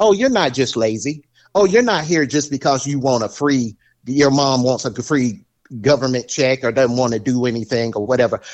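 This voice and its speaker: At a moderate pace, a man talks in a Southern US accent. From US South, military base housing. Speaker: podcast guest, friend of host. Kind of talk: casual chat.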